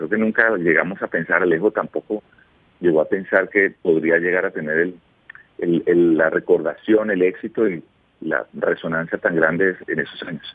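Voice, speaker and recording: Speaking at a moderate pace, a man with a very deep, low voice keeps his intonation fairly even. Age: 50s. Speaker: former radio host. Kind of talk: radio interview. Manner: calm.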